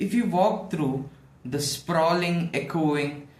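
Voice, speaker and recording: A man speaks fairly slowly, and noticeable background noise runs under his voice. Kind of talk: monologue essay to camera. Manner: some stuttering, hesitant.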